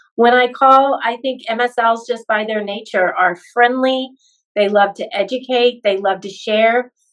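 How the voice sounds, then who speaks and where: A woman's fairly high voice, enthusiastic in tone, at a fairly slow pace with ordinary pitch variation. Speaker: pharmacist and medical recruiter. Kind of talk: casual interview chat.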